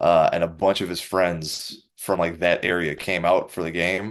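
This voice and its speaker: A man is speaking. He has a Wisconsin accent. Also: quiet background. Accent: Wisconsin, noticeable on some words. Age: 30s. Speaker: professional MMA fighter. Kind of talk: interview. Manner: casual, uses fillers.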